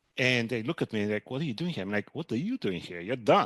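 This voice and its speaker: A man speaks at a very fast pace in a medium pitch with ordinary pitch variation. The sound is dry and close with no echo, over a quiet background. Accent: Bulgarian. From Bulgaria. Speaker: hedge fund manager. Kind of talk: podcast interview.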